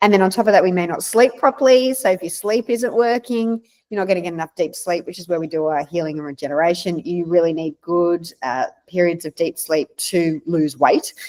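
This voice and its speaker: A woman with an Australian accent and a fairly low pitch talks at a fairly quick pace with hardly any pauses, lively intonation and big swings in loudness, in a dry, close sound with no echo. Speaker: naturopath. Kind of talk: interview.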